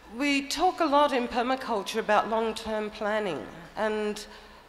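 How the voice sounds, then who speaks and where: A woman's fairly high-pitched voice at a moderate pace, with lively intonation and audible room echo. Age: 60s. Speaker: permaculture teacher. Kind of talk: conference talk.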